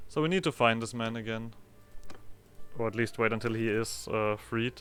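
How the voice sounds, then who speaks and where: A man talks at a medium pitch and a moderate pace, with ordinary pitch variation. Music plays in the background. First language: German. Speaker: gaming video creator. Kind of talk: let's play commentary. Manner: halting.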